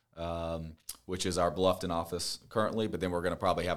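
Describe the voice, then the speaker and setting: A man talks with an American accent. His pitch is very deep and low. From upstate South Carolina (Spartanburg). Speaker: real estate agent and podcast co-host. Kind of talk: casual chat. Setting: office at a marina.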